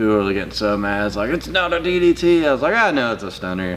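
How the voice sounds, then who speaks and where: Through noticeable background noise, a man with a Southern US accent talks at a very fast pace. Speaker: jiu-jitsu instructor and YouTuber. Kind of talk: casual chat.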